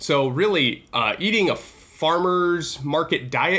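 A man's bright, sharp voice comes through in a very clean recording with a silent background. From North America. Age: 20s. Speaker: health podcast host. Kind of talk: solo podcast monologue. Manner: casual, with filler words.

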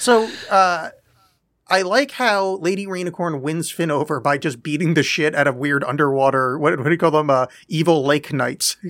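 With an ordinary speaking voice, a man talks at a moderate pace, his fairly high pitch showing ordinary variation. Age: 40s. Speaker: podcast co-host. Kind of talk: casual chat.

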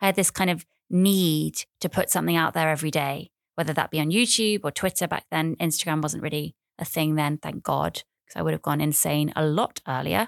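With an English accent, a woman speaks at a fairly quick pace in a very deep, low pitch with ordinary variation, the sound dry and close with no echo. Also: very clean recording, silent background. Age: 30s. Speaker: podcaster. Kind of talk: casual monologue. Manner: animated.

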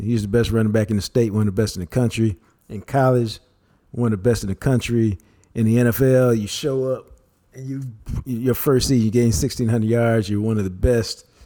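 Speaking fairly quickly, a man uses a normal speaking voice at medium pitch with fairly even intonation. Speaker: co-host, sports commentator. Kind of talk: casual chat.

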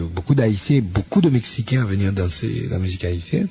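At a moderate pace and with ordinary pitch variation, the speech comes through noticeable background noise. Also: man. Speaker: radio host. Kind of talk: interview.

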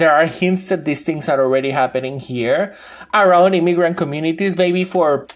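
A man speaks with a Spanish accent. His voice is high-pitched. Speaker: urban researcher. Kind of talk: interview.

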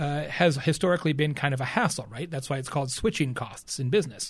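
On a very clean recording with a silent background, a man speaks at a fairly quick pace in a somewhat breathy, fairly high voice. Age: 50s. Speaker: keynote speaker and marketing author. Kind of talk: podcast interview.

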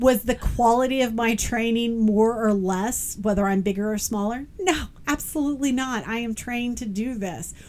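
At a moderate pace and with hardly any pauses, a woman talks in a fairly high voice with ordinary pitch variation. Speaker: podcast co-host. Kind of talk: casual chat. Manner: loud.

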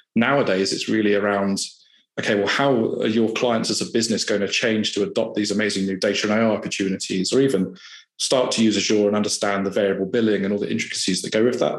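With a southern English accent, a man talks at a very fast pace in a room with audible echo. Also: fairly low pitch for a man, fairly even intonation. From southern England (Hampshire). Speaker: IT services consultant. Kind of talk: casual interview.

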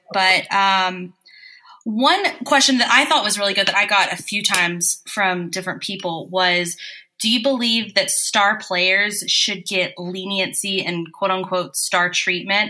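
Over noticeable background noise, a woman with an American accent speaks with ordinary pitch variation. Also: medium pitch for a woman, fairly slow pace. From US South. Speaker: podcast co-host. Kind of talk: casual chat.

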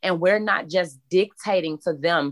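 A medium-pitched woman's voice with an American accent, dry and close with no echo, on a very clean recording with a silent background. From Chicago, south side. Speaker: social worker and new coach. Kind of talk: interview. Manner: halting.

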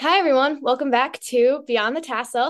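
Her high-pitched voice moves at a fairly quick pace as this woman speaks. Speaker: student podcast host. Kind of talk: interview.

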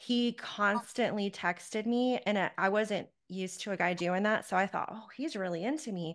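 In an American accent, a woman with an unremarkable speaking voice talks at a moderate pace and medium pitch, with ordinary pitch variation, hardly any pauses and a quiet background. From Charlotte, North Carolina. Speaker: podcast host, life coach. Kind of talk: interview; scripted outro.

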